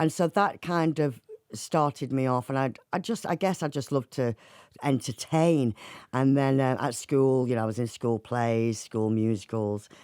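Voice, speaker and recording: A woman with a Mancunian accent, very deep and low in pitch, dark and mellow in tone, at a moderate pace with ordinary pitch variation and very even loudness, in a very clean, dry, close recording with a silent background and no echo. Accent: northern English (Mancunian), kept. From Manchester, northern England. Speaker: singer, actor and writer. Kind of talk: radio interview.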